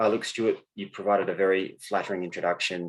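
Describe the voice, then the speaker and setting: Speaking with an Australian accent, a man goes at a very fast pace. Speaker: mining company finance executive. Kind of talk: conference presentation.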